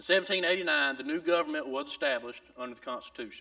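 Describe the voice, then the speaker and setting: Someone talks at a very fast pace with a South Carolina accent. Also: man. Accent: Southern US (South Carolina). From US South. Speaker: Bible school teacher. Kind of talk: lecture. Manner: halting, with frequent repetitions.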